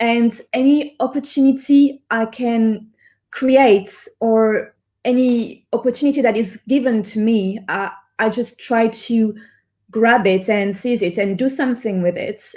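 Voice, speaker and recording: In a very clean recording with a silent background, a woman with a French accent speaks at a fairly slow pace, with a fairly high pitch, fairly even intonation and a dark, mellow tone. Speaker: singer-songwriter. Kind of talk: interview. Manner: halting.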